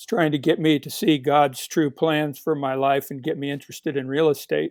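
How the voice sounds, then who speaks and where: Speaking fairly quickly, a man uses a fairly high voice in a Pacific Northwest accent. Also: fairly even intonation, big swings in loudness. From Portland, Oregon, US Pacific Northwest. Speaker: author. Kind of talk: interview.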